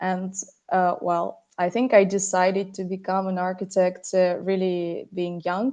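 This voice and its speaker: A woman speaks in a Russian accent at medium pitch. Her tone is dark and mellow. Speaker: architect. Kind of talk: podcast interview. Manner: halting, many fillers.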